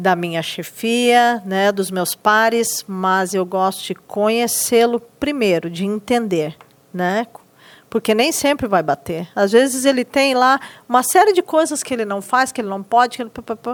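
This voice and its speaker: On a very clean recording with a silent background, a woman with a strong Rio Grande do Sul accent talks at a fairly high pitch. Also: lively intonation, fairly slow pace. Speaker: teacher in inclusive education. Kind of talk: podcast interview.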